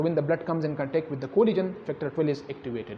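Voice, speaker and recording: With noticeable background noise, a man with a fairly high pitch talks at a very fast pace. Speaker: doctor teaching exam questions. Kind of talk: lecture.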